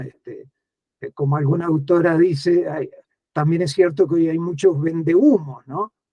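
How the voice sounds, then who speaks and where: The man's voice sits at a high pitch. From Uruguay. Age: 60s. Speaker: writer and education speaker. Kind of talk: interview conversation.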